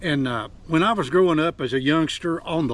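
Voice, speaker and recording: With an Appalachian accent, a man speaks at a moderate pace in a fairly high pitch. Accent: Appalachian Southern US. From Appalachia, Virginia. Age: 70s. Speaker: outdoorsman, forager. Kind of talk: outdoor tutorial vlog. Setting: outdoors on a mountain. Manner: casual, folksy.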